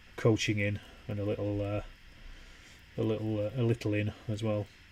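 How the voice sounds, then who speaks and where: A man speaks with a Yorkshire accent at a fairly low pitch. His tone is relaxed and somewhat breathy, with monotone, flat intonation. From Yorkshire, northern England. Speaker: wargaming streamer. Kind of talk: casual live stream chat while painting. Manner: relaxed, conversational.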